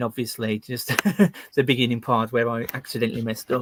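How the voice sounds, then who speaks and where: Flat and monotone, a man with a West Midlands accent talks at a medium pitch. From West Midlands, England. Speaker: YouTuber and carpenter. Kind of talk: interview answers.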